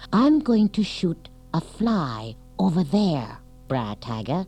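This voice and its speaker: In a put-on character voice at a middle pitch, the speaker swings widely in pitch at a fairly slow pace while music plays clearly in the background. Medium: read story.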